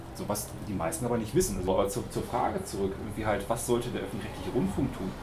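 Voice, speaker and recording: Noticeable background noise and audible room echo fill the recording. A man talks at a very fast pace in a medium pitch. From Hamburg. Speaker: radio music journalist. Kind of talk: panel discussion.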